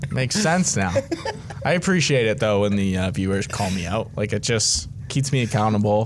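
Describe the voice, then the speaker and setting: A man with a fairly low pitch speaks with lively intonation at very even loudness, over noticeable background noise. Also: moderate pace. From Ontario, Canada (Georgetown). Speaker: hockey podcast host. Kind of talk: casual chat. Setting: studio, in person. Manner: casual, filler-heavy.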